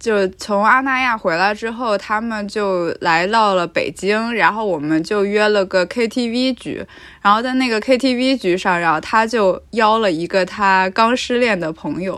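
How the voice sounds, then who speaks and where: Speaking at a fairly slow pace with hardly any pauses, a woman with a fairly high pitch and ordinary pitch variation has a plain, everyday voice. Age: 20s. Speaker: podcast producer and host. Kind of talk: casual chat.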